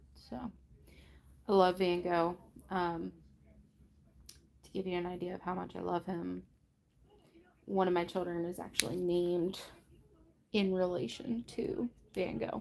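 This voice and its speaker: A woman's fairly low voice with a Midwestern American accent, relaxed in tone, at a fairly slow pace with long, frequent pauses and ordinary pitch variation. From Ohio, Cincinnati area. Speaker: livestreamer. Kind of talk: casual chat.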